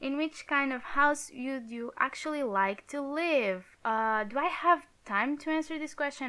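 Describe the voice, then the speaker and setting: On a very clean recording with a silent background, a woman with a Portuguese accent speaks at a moderate pace with lively intonation. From Portugal. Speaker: YouTuber, Sims builder. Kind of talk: casual gaming commentary. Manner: halting.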